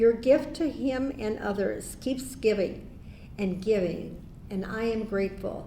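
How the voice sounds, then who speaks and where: With an American accent, a woman speaks fairly slowly at a fairly high pitch with ordinary pitch variation, and room echo is audible. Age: 80s+. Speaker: honoree's widow. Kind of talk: acceptance speech.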